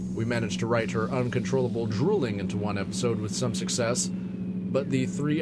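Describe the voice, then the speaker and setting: Noticeable background noise runs under a man's deadpan tone. He talks at a moderate pace. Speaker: podcast host and fiction narrator. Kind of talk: scripted absurdist narration, with a mock-ad intro. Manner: deadpan, dry, formal delivery.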